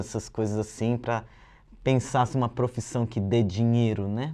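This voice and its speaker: Moderate-paced speech over a quiet background. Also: man. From São Paulo, northern periphery (Zona Norte); São Paulo. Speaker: illustrator and graffiti artist teaching a workshop; workshop host. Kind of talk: video lesson presentation. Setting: studio. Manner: casual, relaxed. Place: studio. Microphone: lapel.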